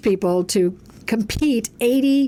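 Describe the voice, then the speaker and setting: Pitched fairly high, a woman with an unremarkable speaking voice talks with lively intonation. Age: 60s. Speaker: coach and speaker. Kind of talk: casual chat.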